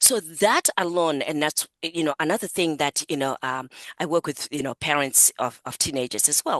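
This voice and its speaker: A woman with an African accent, a very deep, low pitch and ordinary pitch variation, in dry, close sound with no echo. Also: moderate pace. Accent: African accent, noticeable. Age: 60s. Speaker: psychotherapist, coach and author. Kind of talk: interview.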